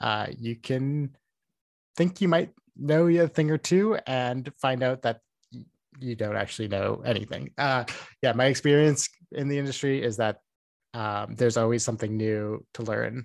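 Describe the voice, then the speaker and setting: Recorded very cleanly against a silent background, a man with a Canadian Prairie accent speaks at a moderate pace, with ordinary pitch variation and long, frequent pauses. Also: medium pitch for a man. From small-town Saskatchewan, Canada. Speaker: video game sound designer. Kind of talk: casual interview. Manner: many fillers (um, like).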